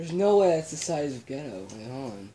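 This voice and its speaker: A quiet man speaks with lively intonation over light background noise. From Ireland. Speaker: YouTuber. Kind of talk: casual vlog. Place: home room. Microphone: camera far.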